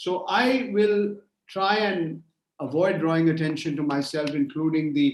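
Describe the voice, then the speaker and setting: The speaker has a Bengali accent. Pitch varies in an ordinary way. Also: man. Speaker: journalist. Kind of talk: conference keynote talk. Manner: hesitant, repeats words; extempore, no notes.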